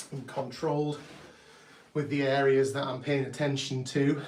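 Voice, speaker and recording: In a British accent, a somewhat breathy man speaks at a moderate pace amid audible room echo. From UK. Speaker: artist and drummer, channel owner. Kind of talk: live stream art commentary. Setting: home art studio, live stream. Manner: calm, relaxed.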